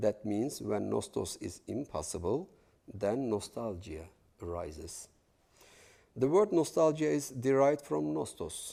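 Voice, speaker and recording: The voice has a dark, mellow tone and a Kurdish accent, moving at a fairly slow pace. Its pitch swings very widely. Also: man, fairly low pitch for a man. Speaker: novelist, guest lecturer. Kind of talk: lecture.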